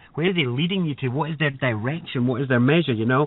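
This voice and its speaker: A man speaks with a Scottish accent and ordinary pitch variation. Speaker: spiritual teacher and workshop leader. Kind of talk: radio interview. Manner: fast.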